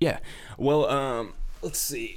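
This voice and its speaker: This man speaks with an American accent. His pitch swings very widely. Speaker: musician. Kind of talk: casual interview.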